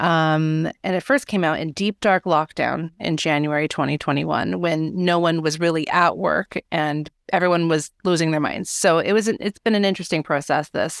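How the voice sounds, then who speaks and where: Speaking at a moderate pace with hardly any pauses, a woman uses a fairly low pitch and fairly even intonation in a dry, close sound with no echo. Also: very clean recording, silent background. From California, US. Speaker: editor and author. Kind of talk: podcast interview.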